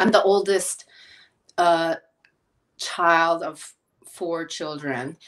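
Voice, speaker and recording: A woman speaks with a Philadelphia accent. She goes at a very slow pace, with long, frequent pauses. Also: fairly even intonation. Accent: American, Philadelphia. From Philadelphia, US (moved from Korea at six). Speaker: chef and health counselor. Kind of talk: interview conversation. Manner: hesitant, many fillers.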